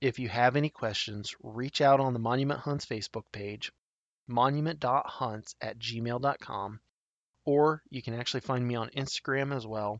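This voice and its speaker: A man with a Midwestern American accent, medium pitch, ordinary pitch variation and a moderate pace. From Nebraska, south central (Tri Cities area). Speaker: podcast host, hunter. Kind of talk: solo podcast monologue, informational.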